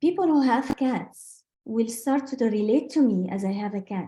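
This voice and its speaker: With a non-native accent, a woman speaks at a moderate pace in a fairly high pitch, her dark, mellow tone somewhat breathy and her pitch varying in an ordinary way. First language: not English. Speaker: sales trainer. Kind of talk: business training talk. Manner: halting.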